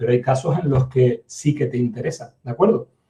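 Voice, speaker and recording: At a fairly quick pace, a man speaks in a dark, mellow, somewhat breathy tone with ordinary pitch variation. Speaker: university lecturer. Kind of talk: lecture. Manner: fast; hesitant fillers.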